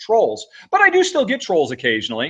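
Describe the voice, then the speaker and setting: This man moves through very wide pitch swings. He talks at a fairly quick pace. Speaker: board game video reviewer. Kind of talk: interview. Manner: fast; animated.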